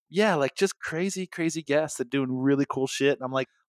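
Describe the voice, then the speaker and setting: Dry and close with no echo, a normal speaking voice moves at a moderate pace on a very clean recording with a silent background. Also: man. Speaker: photographer and agency founder. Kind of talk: casual interview chat.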